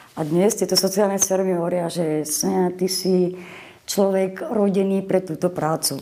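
There is noticeable background noise behind the voice. A woman speaks at a moderate pace with a medium pitch. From western Slovakia, Boleráz (Trnava region), Moravian mother. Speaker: social worker. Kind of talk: interview. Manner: animated.

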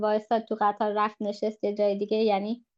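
A woman is speaking. Her pace is moderate. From Germany. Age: 20s. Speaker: podcast guest, second-generation immigrant. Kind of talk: casual chat.

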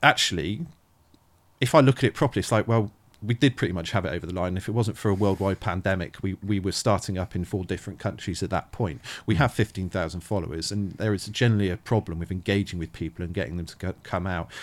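At a very fast pace, a man with a Bristol accent speaks in a very deep, low pitch with ordinary pitch variation, in a very clean recording against a silent background. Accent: South West English, Bristol area. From Thornbury, South Gloucestershire, England. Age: 40s. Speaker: charity founder. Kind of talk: casual interview chat. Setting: with a dog nearby.

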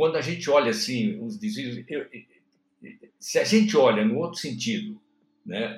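The speaker is a man with a high pitch. His voice moves through very wide pitch swings. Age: 70s. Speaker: pastor. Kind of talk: religious discussion. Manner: halting.

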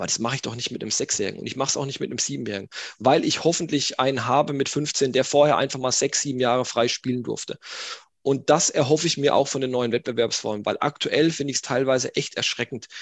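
Fairly even intonation from a man talking at a very fast pace. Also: medium pitch for a man. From northeastern Baden-Württemberg, small village. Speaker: sports scientist and youth football coach. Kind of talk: podcast interview.

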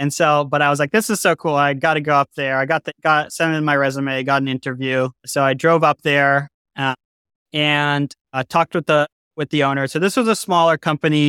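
A man with an American accent speaks at a fairly high pitch, his tone bright and sharp and his intonation fairly even. The recording is very clean with a silent background, dry and close with no echo. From US Northeast, Massachusetts North Shore. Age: 20s. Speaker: machine shop owner. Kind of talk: casual interview chat.

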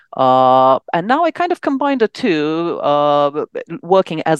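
Speaking at a moderate pace with a Romanian accent, a woman uses a very deep, low voice with very wide pitch swings, in a dry, close sound with no echo and a quiet background. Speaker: psychiatrist and actress. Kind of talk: casual interview.

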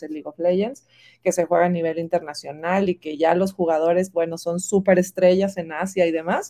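An unremarkable speaking voice from a woman at medium pitch, fairly quick, with a dry, close sound and no echo. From Mexico, Monterrey. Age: 40s. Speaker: marketing executive. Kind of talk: interview. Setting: video call.

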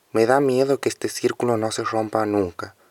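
With a dry, close sound and no echo, a man speaks in an ordinary speaking voice at medium pitch, with ordinary pitch variation and a moderate pace. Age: 20s. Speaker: young person sharing drug use experience. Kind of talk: testimony.

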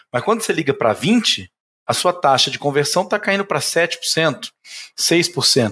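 Man with a high pitch, bright, sharp tone, lively intonation, very even loudness and a fairly slow pace. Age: 30s. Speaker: insurance broker, business owner. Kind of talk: podcast interview.

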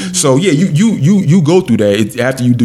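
A man's fairly quick speech carries lively intonation, with noticeable background noise behind it. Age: 40s. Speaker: podcast host. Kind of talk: casual chat. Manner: halting, many repetitions.

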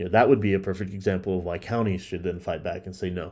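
In a quiet setting, a man with a Texan accent talks in a very deep, low voice with flat, monotone intonation. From Texas, Dallas area. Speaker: podcast host. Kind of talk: political commentary monologue.

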